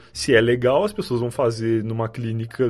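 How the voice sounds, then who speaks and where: A man is talking. Music plays in the background. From Rio Grande do Sul, far south near Uruguay. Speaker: podcaster. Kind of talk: casual chat.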